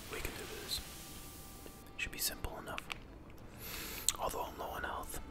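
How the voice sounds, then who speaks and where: Amid loud background noise, the speech moves at a fairly quick pace broken by long, frequent pauses. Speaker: ASMR gaming creator. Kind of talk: whispered gameplay commentary.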